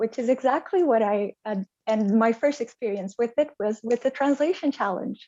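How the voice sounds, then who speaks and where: A woman with a Portuguese accent at a moderate pace, music in the background. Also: fairly high pitch for a woman, ordinary pitch variation. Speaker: translation project manager. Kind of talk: interview.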